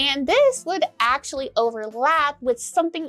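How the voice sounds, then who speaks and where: Bright and sharp in tone, a woman's voice moves through very wide pitch swings at a moderate pace. The sound is dry and close, with no echo. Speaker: clown history video host. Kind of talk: casual talk to camera.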